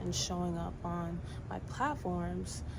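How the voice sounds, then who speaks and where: A soft-spoken woman is heard with audible room echo. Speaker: vlogger. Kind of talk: personal vlog monologue. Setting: home, windows open. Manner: low-energy. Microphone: no microphone.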